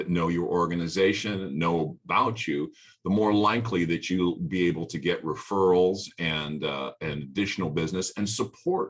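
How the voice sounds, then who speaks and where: The voice has vocal fry. The background is quiet. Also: man. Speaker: business workshop presenter. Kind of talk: webinar presentation. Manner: many filler words.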